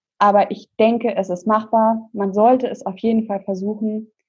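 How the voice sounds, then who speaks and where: A woman's fairly high voice at a fairly slow pace, with music in the background. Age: young. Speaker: nurse. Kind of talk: interview. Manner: hesitant, many filler sounds.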